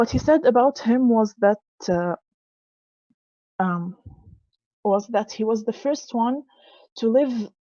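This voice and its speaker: A woman speaks fairly slowly with long, frequent pauses in a dark, mellow tone. The sound is dry and close with no echo. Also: fairly high pitch for a woman, ordinary pitch variation. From Lebanon. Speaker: symposium speaker. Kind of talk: presentation talk. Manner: halting, with self-corrections.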